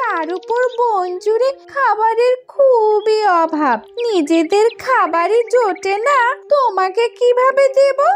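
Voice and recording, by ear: A cartoonish character voice, female-sounding and extremely high-pitched, moves at a very slow pace. Clear background noise runs underneath.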